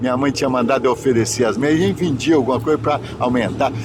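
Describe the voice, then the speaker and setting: A man's voice with music in the background. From Minas Gerais, Brazil. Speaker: bishop. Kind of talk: interview, life story. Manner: halting.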